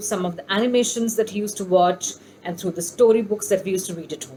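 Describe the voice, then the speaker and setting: A woman speaks in a Bengali accent with a fairly high pitch and ordinary pitch variation. Noticeable noise sits in the background. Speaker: homeschooling YouTuber. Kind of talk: casual vlog tutorial. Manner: hesitant, many fillers.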